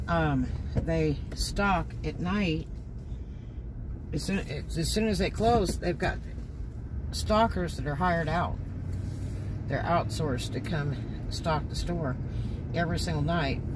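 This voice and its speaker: This man talks at a very slow pace, leaving long, frequent pauses, while noticeable background noise carries on. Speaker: driver vlogger. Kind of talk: casual vlog chat. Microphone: phone near.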